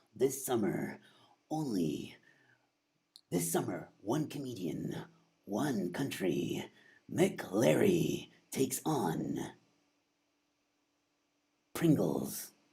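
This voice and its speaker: Put on as a character voice, this low, dramatic delivery moves at a very slow pace with very wide pitch swings and long, frequent pauses. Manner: dramatic, booming.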